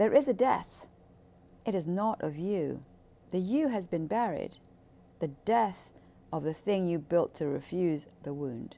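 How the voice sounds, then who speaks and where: Very wide pitch swings at a fairly slow pace, broken by long, frequent pauses. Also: woman, fairly low pitch for a woman. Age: 60s. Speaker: personal podcaster on trauma healing. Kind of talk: solo monologue. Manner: casual, rambling with fillers.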